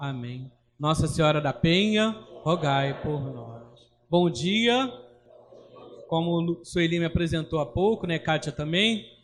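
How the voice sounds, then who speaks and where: With a high pitch and lively intonation, a man speaks at a very slow pace with long, frequent pauses. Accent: Rio de Janeiro. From Brazil, Rio de Janeiro city. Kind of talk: religious formation talk.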